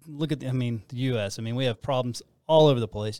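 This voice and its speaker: An unremarkable speaking voice: a man with an American accent, medium pitch and ordinary pitch variation. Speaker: podcast host, church ministry. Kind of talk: casual conversational teaching.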